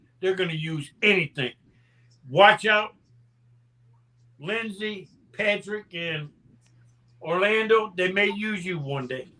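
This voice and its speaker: A man with a high voice speaks very slowly, raised and projected, with long, frequent pauses and ordinary pitch variation. His tone is bright and sharp, and his loudness swings widely. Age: 70s. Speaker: panelist. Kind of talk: casual chat. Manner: animated.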